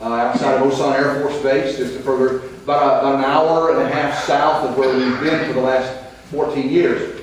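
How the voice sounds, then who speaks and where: Heard through strong room echo and light background noise, a man talks at a moderate pace. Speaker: missionary preacher, retired army veteran. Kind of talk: sermon. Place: church.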